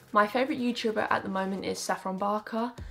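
Faint music plays behind a woman speaking very fast. Her medium-pitched voice keeps fairly even intonation. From Essex, England. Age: 20s. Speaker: YouTuber. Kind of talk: casual talk to camera. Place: home room.

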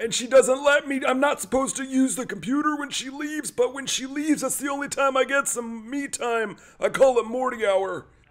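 On a very clean recording with a silent background, a man does a put-on character voice at an extremely high pitch, fairly quick in pace with hardly any pauses. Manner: hesitant, rambling.

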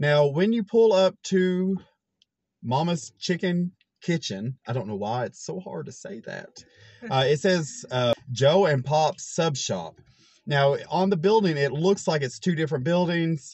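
The speech comes at a fairly slow pace, with a dry sound and no echo. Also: man. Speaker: food reviewer. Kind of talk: casual vlog chat. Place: car. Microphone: phone near.

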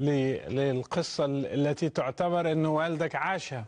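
Against a quiet background, a man with an unremarkable speaking voice talks at a fairly slow pace, with a fairly high pitch and ordinary pitch variation. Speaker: TV show host. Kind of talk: interview. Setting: studio. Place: studio. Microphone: lapel.

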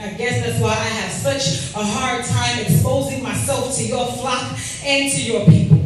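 A woman's very deep, low voice swings very widely in pitch. Strong room echo and light background noise surround her. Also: moderate pace. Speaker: spoken word poet. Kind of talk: spoken word poetry performance. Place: hall.

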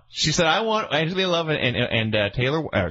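A man speaks with very wide pitch swings. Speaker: wrestling podcast host. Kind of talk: casual chat.

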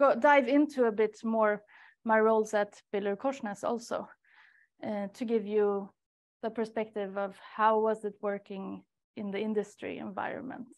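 The speaker moves at a fairly slow pace in a Swedish accent. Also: woman, quiet background. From Sweden, Stockholm. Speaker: research coordinator. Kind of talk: webinar talk. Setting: seminar room with audience and online participants. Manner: hesitant, many fillers. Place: meeting room.

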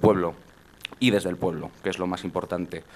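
Speaking at a fairly quick pace, a man keeps a monotone, flat intonation. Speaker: political party official. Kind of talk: speech introducing the guest. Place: hall. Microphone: handheld.

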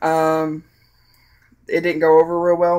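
The speaker talks with a Southern US accent at a moderate pace. The recording is very clean, with a silent background. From US South. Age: 20s. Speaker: vlogger. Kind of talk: personal testimony. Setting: at home with child in background. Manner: halting.

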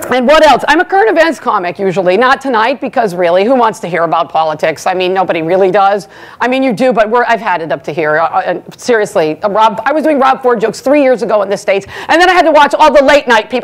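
Talking at a very fast pace, a woman barely pauses at all. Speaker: stand-up comedian at event. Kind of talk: stand-up comedy routine. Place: hall.

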